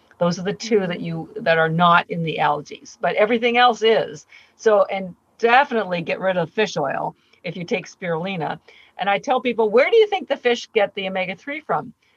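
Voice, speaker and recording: Somewhat breathy and fairly quick, a woman of medium pitch speaks with lively intonation in a dry, close sound with no echo. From Canada. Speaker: company founder. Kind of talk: interview.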